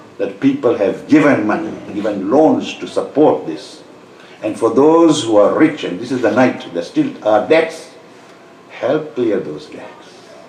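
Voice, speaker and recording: With noticeable background noise and audible room echo around him, a man speaks at a moderate pace. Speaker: Islamic preacher. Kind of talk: sermon.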